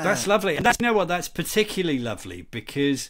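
A man speaks with very wide swings in pitch. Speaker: podcast co-host. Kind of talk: casual podcast conversation. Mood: warm, amused. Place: home room. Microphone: earbuds.

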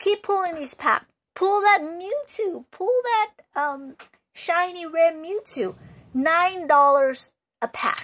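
A put-on character voice drawls its lines very slowly. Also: woman, extremely high pitch for a woman. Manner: pushy sales pitch.

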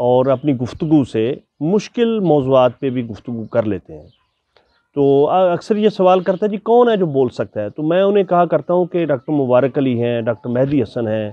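A fairly high-pitched man's voice with very wide pitch swings, moderate pace, dry sound with no echo and a quiet background. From Pakistan. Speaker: interviewer, teacher. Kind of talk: interview. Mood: warm, respectful. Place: garden. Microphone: lapel.

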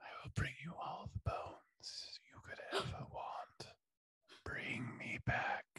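A raspy, put-on character voice does the talking. It moves at a fairly slow pace. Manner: eerie, tempting.

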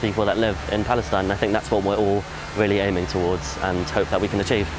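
A man is speaking. The sound is dry with no echo, but background noise is noticeable. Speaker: volunteer. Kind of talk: testimony. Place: street.

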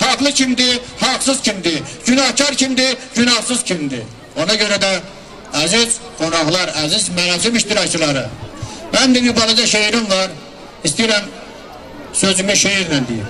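Against light background noise, a man with a high pitch projects a raised voice at a fairly slow pace, his intonation lively, his loudness very even, and his speech broken by long, frequent pauses. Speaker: commemoration speaker / emcee. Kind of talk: commemorative speech. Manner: solemn, emotional. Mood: solemn, mournful. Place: street. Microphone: handheld.

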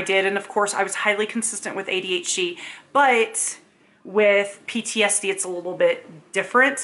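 Words come out at a fairly quick pace. The pitch rises and falls in an ordinary way. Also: woman. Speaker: vlogger. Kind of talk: casual talk to camera. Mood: emotional, embarrassed, animated. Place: home room.

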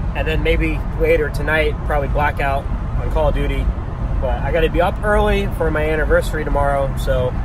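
Talking at a fairly quick pace, a man comes through dry with no echo over noticeable background noise. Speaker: vlogger. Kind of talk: casual vlog chat. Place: car. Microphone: phone near.

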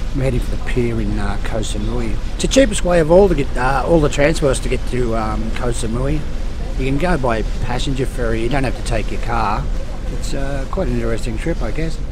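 Over music in the background, a man speaks at a fairly quick pace, the sound dry with no echo. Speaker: travel vlogger. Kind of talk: casual vlog chat. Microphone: phone near.

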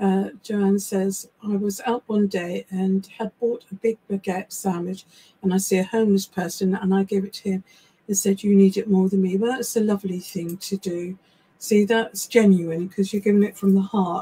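A woman with an English accent speaks at a moderate pace in a somewhat breathy, dark, mellow voice with monotone, flat intonation. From England. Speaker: psychic medium and live show co-host; live show co-host. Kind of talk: casual live chat. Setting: live stream from small home office. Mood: warm, sympathetic. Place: home room.

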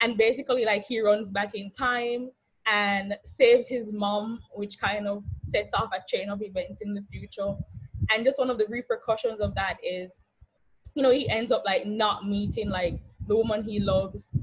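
Speaking at a moderate pace, a woman sounds somewhat breathy, her intonation fairly even. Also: fairly high pitch for a woman. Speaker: graduating senior. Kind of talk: casual reflective speech. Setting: video call.

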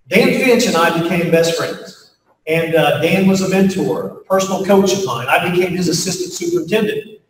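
Speaking at a fairly quick pace with fairly even intonation, a man is heard in audible room echo with light background noise. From US Appalachia (West Virginia). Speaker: pastor and leadership speaker. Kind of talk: keynote talk to faculty, closing with prayer. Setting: stage with audience at faculty retreat. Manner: folksy, conversational with frequent fillers.

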